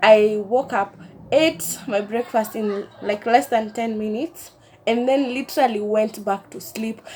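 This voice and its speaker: A woman at a fairly high pitch with ordinary pitch variation, big swings in loudness and a fairly slow pace. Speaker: vlogger. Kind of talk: casual chat.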